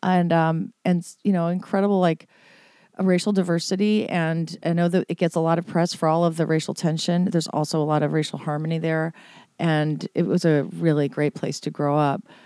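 Her tone is dark and mellow, with a fairly low pitch and fairly even intonation. The woman talks at a fairly quick pace. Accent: American. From US Midwest, St. Louis. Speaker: musician, former singer. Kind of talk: casual chat. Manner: halting, many fillers.

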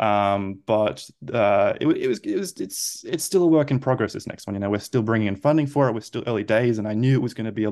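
With an Australian accent, a man of medium pitch talks at a fairly quick pace with ordinary pitch variation against a quiet background. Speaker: film director. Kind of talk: interview. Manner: halting.

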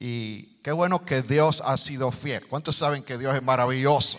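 With lively intonation, a man talks on a very clean recording with a silent background. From Puerto Rico. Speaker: guest preacher. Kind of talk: sermon. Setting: church with congregation.

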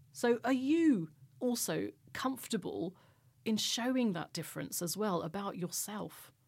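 Her pitch medium but swinging very widely, a woman speaks at a fairly slow pace with vocal fry. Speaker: journalist and podcast host. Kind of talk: podcast interview and discussion. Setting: studio.

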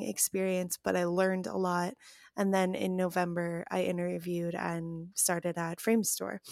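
A woman with a Chicago accent at a fairly low pitch and moderate pace, fairly even in intonation, dry and close with no echo, on a very clean recording with a silent background. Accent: Chicago American English. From US Midwest, Chicago. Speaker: scheduling assistant, former English teacher. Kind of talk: casual chat.

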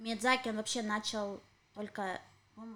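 A woman talks at a moderate pace with a fairly high pitch and fairly even intonation. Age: 30s. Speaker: podcast co-host. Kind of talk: casual chat. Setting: home apartment.

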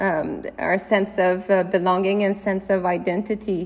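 This woman speaks in a Quebec accent at medium pitch. Her intonation is flat and monotone. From Canada, Quebec (Gatineau, Ottawa suburbs) and Brittany, France. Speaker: artist and filmmaker. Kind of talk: interview. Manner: halting, many fillers and repetitions.

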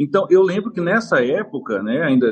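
Talking fairly quickly, a man uses a high-pitched voice. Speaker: football fan. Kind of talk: interview. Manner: halting.

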